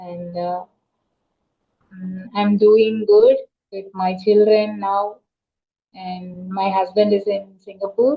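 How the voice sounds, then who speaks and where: In a Tamil accent, a woman speaks at a very slow pace with long, frequent pauses. Her intonation is monotone and flat, with big swings in loudness. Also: medium pitch for a woman. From South India, Tamil Nadu, Chennai. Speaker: teacher. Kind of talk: casual conversation practice. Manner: hesitant with fillers.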